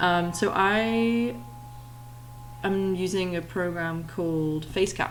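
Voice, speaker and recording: A woman with a fairly low pitch speaks very slowly, with long, frequent pauses. Her intonation is lively, and the room echo is audible. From Yorkshire, northern England. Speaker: 3D artist and streamer. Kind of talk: tutorial livestream. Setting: live stream. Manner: slow, relaxed.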